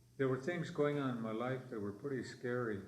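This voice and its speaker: A man speaks with fairly even intonation. Audible room echo and noticeable background noise come through. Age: 70s. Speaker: elder historian and storyteller. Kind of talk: language class storytelling. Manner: halting.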